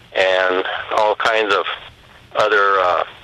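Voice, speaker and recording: The intonation stays fairly even, with noticeable background noise underneath. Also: man. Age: 60s. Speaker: retired medical diagnostician. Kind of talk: testimony.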